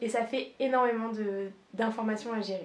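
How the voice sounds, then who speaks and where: A woman speaks in a fairly high pitch with monotone, flat intonation. Noticeable background noise can be heard. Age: 20s. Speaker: nurse and content creator. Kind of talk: casual vlog introduction.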